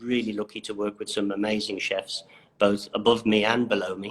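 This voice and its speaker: Fairly low male voice at a moderate pace, with monotone, flat intonation. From Isle of Man. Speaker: chef. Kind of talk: interview.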